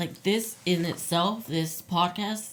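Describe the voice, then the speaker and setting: A woman with an American accent, speaking at a very slow pace. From Utah, US West (Brigham City). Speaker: abuse survivor sharing testimony. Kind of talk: testimony. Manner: halting.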